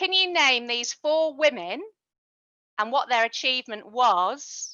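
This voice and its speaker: Speaking at a fairly slow pace, a woman with a British accent uses lively intonation. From UK. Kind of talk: online workshop presentation.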